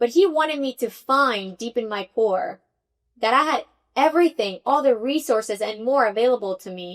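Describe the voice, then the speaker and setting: Her voice is high and lively in intonation, a woman with a slight Spanish accent speaking at a moderate pace in a dry, close sound with no echo. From Venezuela, Caracas. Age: 30s. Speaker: tech executive. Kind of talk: podcast interview.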